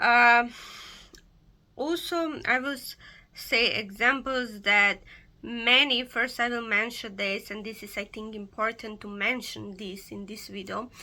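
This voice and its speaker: Speaking at a fairly slow pace, a woman with a non-native accent has a fairly high pitch and a bright, sharp tone. Her loudness swings widely while her pitch varies in an ordinary way, over a very clean recording with a silent background. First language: not English. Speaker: pagan occultist YouTuber. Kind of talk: casual vlog explanation. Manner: halting, many fillers.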